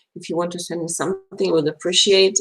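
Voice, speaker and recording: A woman speaks at a fairly quick pace with a Russian accent. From Belarus. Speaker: astrologer. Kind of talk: live stream talk. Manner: fast; halting.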